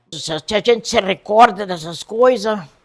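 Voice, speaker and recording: A woman speaks at a very slow pace with a medium pitch. Vocal fry runs through her voice. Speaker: elderly local resident interviewed. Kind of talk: oral history interview.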